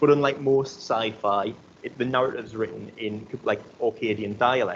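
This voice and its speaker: In a Geordie accent, a man talks at a moderate pace, his medium pitch moving with ordinary variation. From North East England. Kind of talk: academic conference talk. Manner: hesitant, casual.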